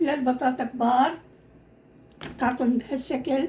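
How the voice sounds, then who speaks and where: Background noise is noticeable throughout. A woman does the talking. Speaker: home cooking video host. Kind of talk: cooking tutorial. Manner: halting, repeats words.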